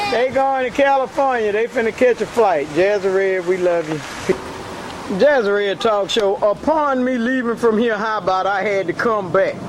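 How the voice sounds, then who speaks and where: A woman talks at a moderate pace in a fairly high pitch with ordinary pitch variation. Noticeable background noise sits behind her. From US South, Mobile, Alabama. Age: 60s. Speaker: talk show host. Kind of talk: casual live video chat. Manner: animated.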